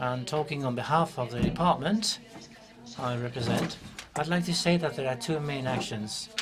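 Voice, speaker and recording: A man talks at a moderate pace with fairly high pitch and ordinary pitch variation. There is noticeable background noise and audible room echo. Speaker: government official. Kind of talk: conference presentation.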